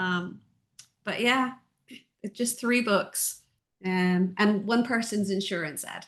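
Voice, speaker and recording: A woman at medium pitch speaks very slowly, with ordinary pitch variation. Long pauses come often. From Ireland, Dublin. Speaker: audiobook narrator and book editor. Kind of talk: casual interview chat.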